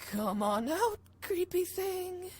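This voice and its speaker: An extremely high-pitched, put-on character voice over light background noise. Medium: game stream. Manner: stammering, hesitant.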